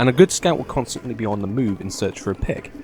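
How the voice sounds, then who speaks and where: Over music in the background, a man at medium pitch talks at a very fast pace. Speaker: gaming YouTuber. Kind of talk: scripted commentary. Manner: comedic, playful; whispering at the start.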